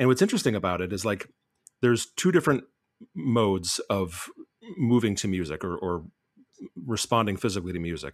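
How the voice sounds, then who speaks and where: Over a silent background in a very clean recording, a man with a fairly low pitch talks at a fairly quick pace with lively intonation and long, frequent pauses. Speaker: amateur DJ panelist. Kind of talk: casual chat.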